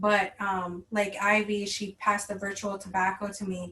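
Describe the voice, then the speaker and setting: With an American accent, a woman speaks at a fairly slow pace and a medium pitch. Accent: reservation accent, slight. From Red Lake Nation, northern Minnesota. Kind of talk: online workshop talk. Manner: casual, with many fillers.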